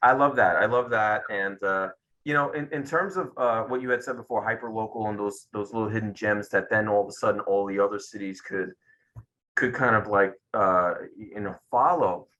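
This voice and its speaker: A man with a Brooklyn accent talks at a moderate pace and a medium pitch, with ordinary pitch variation. His tone is bright, sharp and enthusiastic. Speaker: career coach. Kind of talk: interview.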